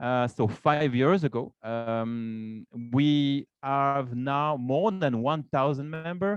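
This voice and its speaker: With a Swiss French accent, a man speaks at a fairly high pitch with ordinary pitch variation over a quiet background. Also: dry, close sound with no echo. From Romandie, French-speaking western Switzerland. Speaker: association vice president and business developer. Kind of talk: event welcome speech with slides. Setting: office event room with live audience, streamed on Zoom. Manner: halting, many fillers and repetitions.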